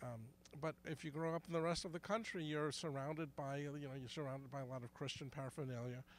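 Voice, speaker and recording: A man with an American accent, fairly high-pitched, at a very fast pace and with fairly even intonation. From New York, Brooklyn. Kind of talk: street interview. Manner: halting, many restarts.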